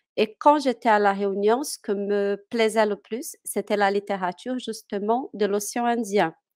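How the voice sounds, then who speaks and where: Speaking in a Portuguese accent, a woman with a fairly high pitch talks at a fairly slow pace with fairly even intonation, in a very clean, dry, close recording with no echo and a silent background. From Brazil, Minas Gerais. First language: Portuguese (speaking French). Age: 30s. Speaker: French teacher. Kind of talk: interview. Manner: hesitant, many fillers.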